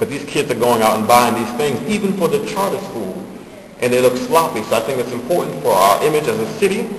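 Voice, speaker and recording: Amid noticeable background noise and audible room echo, a man speaks at a very fast pace with very wide pitch swings. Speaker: public commenter at city council. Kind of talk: public comment speech. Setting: council chamber, public meeting.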